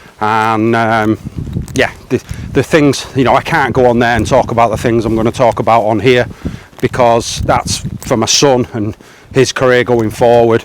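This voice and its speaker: A man speaks at a moderate pace in a medium pitch, his intonation flat and monotone, with noticeable background noise behind him. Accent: English. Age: 40s. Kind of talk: casual talk to camera. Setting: outdoors.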